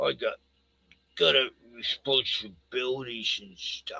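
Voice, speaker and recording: A man speaks with an Australian accent. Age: 60s. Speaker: live streamer. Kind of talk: casual chat. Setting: live stream.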